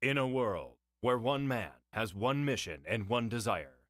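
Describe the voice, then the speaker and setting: In a put-on character voice, a man booms at a medium pitch in a dramatic tone, keeping a moderate pace and very even loudness on a very clean recording with a silent background. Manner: dramatic, booming.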